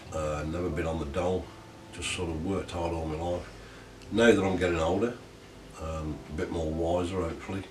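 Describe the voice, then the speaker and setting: Speech comes at a fairly quick pace with fairly even intonation and long, frequent pauses. Audible room echo and noticeable background noise fill the recording. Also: man, very deep, low pitch for a man. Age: 60s. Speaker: army veteran. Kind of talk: interview testimony. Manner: hesitant, many ums.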